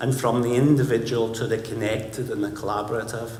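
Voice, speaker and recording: There is audible room echo as a man with a Scottish accent talks at a medium pitch. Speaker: conference speaker, creative director. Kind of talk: conference talk. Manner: animated.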